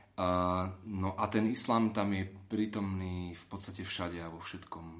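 In a room with audible echo, a man with a very deep, low pitch speaks at a fairly slow pace, monotone and flat, with big swings in loudness. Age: 30s. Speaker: political advisor to an MEP. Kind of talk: interview.

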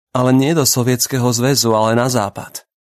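A man with a plain, everyday voice talks at a moderate pace and a medium pitch. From Slovakia, Bratislava. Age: 30s. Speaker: writer. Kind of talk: personal essay read aloud.

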